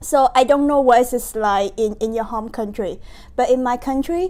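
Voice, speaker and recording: This woman has a high pitch and a dark, mellow tone. She speaks with a Vietnamese accent. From Vietnam, Ho Chi Minh City. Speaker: university student, nonprofit founder. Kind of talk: interview. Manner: halting.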